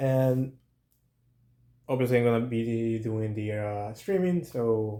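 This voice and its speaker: A man speaks with a non-native accent. His voice has a medium pitch and a dark, mellow tone. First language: not English. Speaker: toy reviewer, channel owner. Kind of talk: toy review vlog. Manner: casual, hesitant with fillers.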